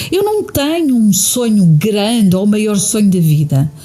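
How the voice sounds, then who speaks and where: A speaker with a European Portuguese accent is heard over noticeable background noise. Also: woman. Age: 60s. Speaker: podcast host and therapist. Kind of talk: podcast monologue answering listener questions.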